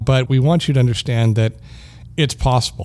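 Somewhat breathy and dark, mellow in tone, a man's medium-pitched voice moves at a fairly quick pace with ordinary pitch variation. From Canada. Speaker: podcast host, assistive technology specialist. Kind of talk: casual tech podcast chat.

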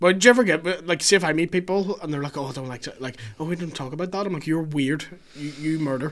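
A man with a Northern Irish accent at a very fast pace, fairly high in pitch, with ordinary pitch variation and big swings in loudness. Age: 30s. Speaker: comedian. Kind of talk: casual chat.

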